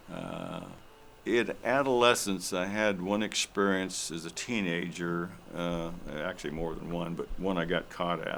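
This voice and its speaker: Speaking at a very deep, low pitch, a man with an American accent talks at a fairly slow pace with ordinary pitch variation. Room echo is audible. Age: 70s. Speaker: elder storyteller, military veteran. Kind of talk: personal storytelling on stage. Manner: halting, many fillers.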